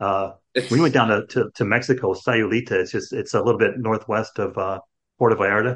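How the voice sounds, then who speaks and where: A man's unremarkable speaking voice at a medium pitch, fairly even intonation and fairly quick pace. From Chicago, US Midwest. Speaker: podcast host. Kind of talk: casual chat. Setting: video call.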